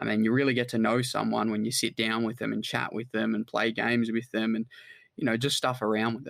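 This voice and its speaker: In an Australian accent, a man speaks at a fairly quick pace with a medium pitch. His intonation is monotone and flat. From Australia, New South Wales. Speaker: online business founder. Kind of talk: casual chat.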